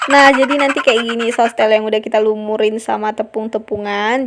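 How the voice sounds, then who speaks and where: Fairly even in intonation, a woman speaks at a fairly high pitch. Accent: North Sumatran. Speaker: cooking channel host. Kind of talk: cooking tutorial. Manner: casual, chatty.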